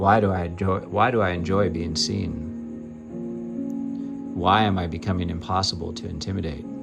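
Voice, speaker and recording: A man's very deep, low voice at a fairly slow pace with hardly any pauses, music in the background. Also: ordinary pitch variation. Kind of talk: guided affirmation reading, self-empowerment narration.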